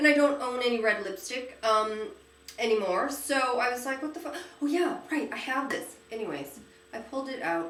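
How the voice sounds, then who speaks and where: An animated tone comes through amid audible room echo and noticeable background noise. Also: woman, high pitch for a woman, lively intonation, moderate pace. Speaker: beauty vlogger. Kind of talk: casual chat. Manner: halting.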